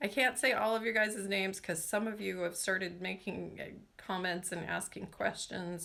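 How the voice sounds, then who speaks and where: A woman's bright, sharp tone with vocal fry, ordinary pitch variation and an American accent. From Washington state, US Pacific Northwest. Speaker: nail care YouTuber. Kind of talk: live stream chat with viewers. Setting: live stream. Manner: casual, chatty with fillers.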